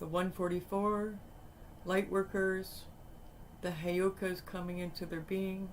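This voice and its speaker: Soft-spoken and at a medium pitch, the woman talks at a fairly slow pace in a monotone, flat intonation, with long, frequent pauses. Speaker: tarot reader. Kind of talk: tarot reading.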